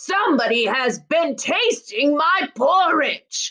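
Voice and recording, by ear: A put-on character voice, high in pitch, goes along at a very slow pace.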